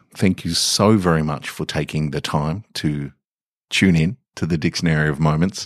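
A man with an Australian accent at a fairly slow pace, dry and close with no echo, on a very clean recording with a silent background. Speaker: podcast host and fiction reader. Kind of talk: literary fiction reading, measured and atmospheric. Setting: home recording in a garage. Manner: slow, measured, hushed and contemplative narration.

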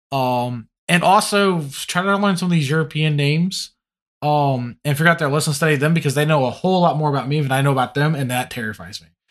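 A man at a fairly high pitch, talking very fast with big swings in loudness, against a quiet background. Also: ordinary pitch variation. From Louisiana, Cajun. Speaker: competitive tabletop wargamer. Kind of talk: podcast interview.

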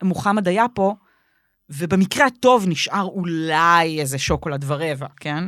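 In a very clean recording with a silent background, a woman with an unremarkable speaking voice uses lively intonation at a fairly low pitch. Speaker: podcast co-host, comedian. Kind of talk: casual chat.

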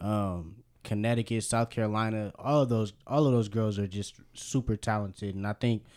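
A man with an unremarkable speaking voice, fairly low in pitch and fairly even in intonation, on a very clean recording with a silent background. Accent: American. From Berkeley, California. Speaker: sports podcast co-host. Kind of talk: casual chat.

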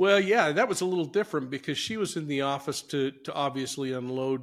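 Talking at a fairly quick pace with a fairly high pitch, a man with an American accent has an ordinary speaking voice, captured on a very clean recording with a silent background. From Utah (Salt Lake City). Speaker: retired police investigator and true crime podcaster. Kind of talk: interview.

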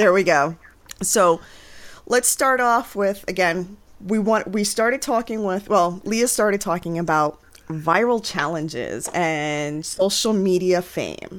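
In a normal speaking voice, a woman talks with an American accent at a fairly slow pace. Her medium pitch has ordinary pitch variation. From New York City (the Bronx). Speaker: family therapist and podcast co-host. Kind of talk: casual chat.

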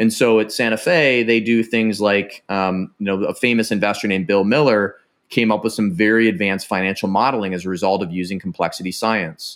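On a very clean recording with a silent background, a man with an American accent talks at a fairly quick pace with hardly any pauses, a fairly low pitch, ordinary pitch variation and an ordinary speaking voice. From Ohio, small town west of Cleveland. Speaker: former Navy SEAL and tech entrepreneur. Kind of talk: casual interview.

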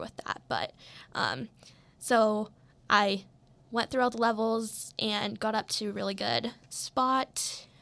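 On a very clean recording with a silent background, a woman with an American accent talks at a moderate pace and medium pitch, her tone bright and sharp, with vocal fry. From Colorado. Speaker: podcast host, former gymnast. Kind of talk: casual solo monologue. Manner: filler-heavy, informal.

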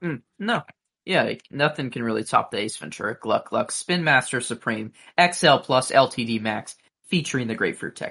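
Against a quiet background, a man speaks at a moderate pace and medium pitch, his tone bright and sharp and his intonation lively. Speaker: podcast co-host. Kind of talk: casual chat. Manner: hesitant, filler-heavy.

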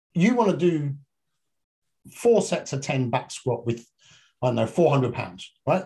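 Talking fairly slowly with long, frequent pauses, a man with a fairly high pitch has a dark, mellow tone, vocal fry and very wide pitch swings. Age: 50s. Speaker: fitness and functional medicine coach. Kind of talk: casual chat.

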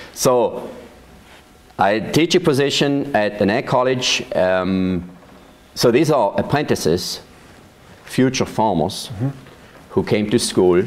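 Speaking at a very slow pace with long, frequent pauses, a man with a Swiss German accent uses lively intonation at a medium pitch. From Switzerland, Thurgau. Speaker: vineyard manager. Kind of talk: oral history interview. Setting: at his farm.

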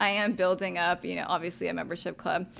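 On a very clean recording with a silent background, a woman talks with a Texan accent. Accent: Texan American. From Texas, Arlington area. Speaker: startup community founder. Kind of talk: interview. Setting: studio. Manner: casual, laughs often.

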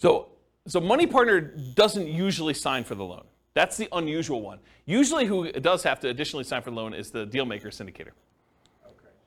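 Speaking very fast, a man uses a fairly high voice with vocal fry. His pitch swings very widely. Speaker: real estate investing instructor. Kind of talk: lecture. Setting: live class with audience.

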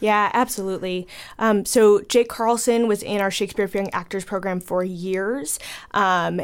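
Delivered with an American accent, this is an unremarkable speaking voice with fairly even intonation. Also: woman. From Chicago. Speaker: theater educator. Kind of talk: radio interview.

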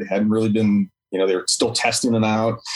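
With an American accent, a man talks at a fairly quick pace in an ordinary speaking voice of medium pitch. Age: 40s. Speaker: firefighter. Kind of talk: casual chat.

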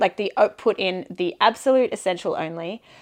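In an Australian accent, a woman talks with a quiet background behind her. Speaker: bike tour manager, guest. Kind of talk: casual interview chat.

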